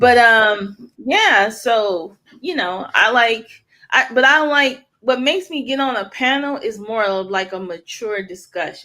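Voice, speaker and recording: A woman's fairly high, bright, sharp voice at a fairly slow pace with lively intonation. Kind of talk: casual chat. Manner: soft-spoken.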